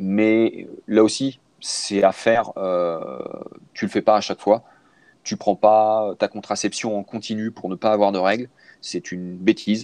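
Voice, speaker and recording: Speech comes at a fairly slow pace with fairly even intonation and long, frequent pauses, in a dry, close sound with no echo. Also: man, fairly low pitch for a man. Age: 40s. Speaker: cycling and triathlon coach. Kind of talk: casual interview. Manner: halting, many fillers.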